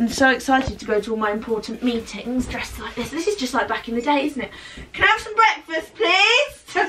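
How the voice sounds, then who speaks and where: A woman's raised, projected voice at a fairly quick pace over light background noise. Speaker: vlogger. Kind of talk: casual vlog chat. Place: home room. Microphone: phone near.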